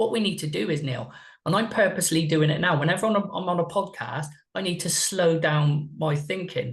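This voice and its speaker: A high-pitched man talks with a slight West Country accent. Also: ordinary pitch variation. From West Country, England. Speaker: mindset and performance coach. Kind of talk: podcast interview. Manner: deliberately slow.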